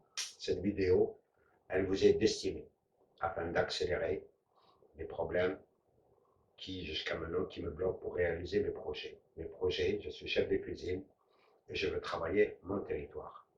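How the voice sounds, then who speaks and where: Long, frequent pauses break up this man's fairly slow speech. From Algeria, Blida region. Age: 50s. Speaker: chef and landowner. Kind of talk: personal appeal; documentary narration.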